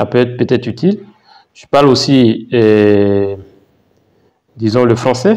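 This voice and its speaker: A man with an Ivorian accent, medium pitch, and a dark, mellow tone, at a very slow pace with long, frequent pauses, ordinary pitch variation, and big swings in loudness. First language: Baoulé (speaking French). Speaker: YouTuber, mining geologist. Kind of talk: vlog, thinking aloud. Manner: halting, many fillers and repetitions.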